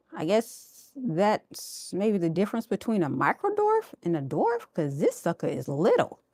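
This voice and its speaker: In a very clean recording with a silent background and a dry, close sound free of echo, a woman with an American accent speaks at a medium pitch. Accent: Texan twang when tired. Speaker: home gardening livestreamer. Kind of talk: casual livestream garden tour. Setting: indoors, live stream. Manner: animated.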